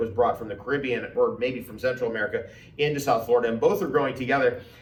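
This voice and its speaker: Amid noticeable background noise and audible room echo, a man talks very fast at medium pitch with ordinary pitch variation. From New Jersey, US. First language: Farsi. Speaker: health and plant expert, farmer. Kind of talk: interview conversation. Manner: enthusiastic.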